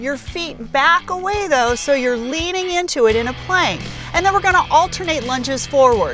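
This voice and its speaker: With clear music in the background, a woman speaks at a moderate pace in a high pitch, the sound dry with no echo. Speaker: fitness trainer. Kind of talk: tutorial. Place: open country.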